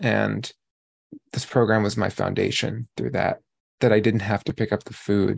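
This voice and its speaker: A man speaks with an American accent against a quiet background. The sound is dry and close, with no echo. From New York. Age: 30s. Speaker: recovery program member. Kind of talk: testimony. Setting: video call.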